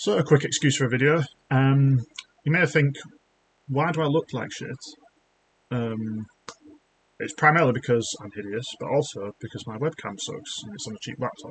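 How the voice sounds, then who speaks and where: Pauses come long and often as a man with a British accent talks at a moderate pace and medium pitch, somewhat breathy. His pitch varies in an ordinary way while his loudness swings a great deal. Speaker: YouTuber, junior developer. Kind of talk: casual rant, software demo. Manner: halting, many fillers and restarts. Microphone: laptop mic.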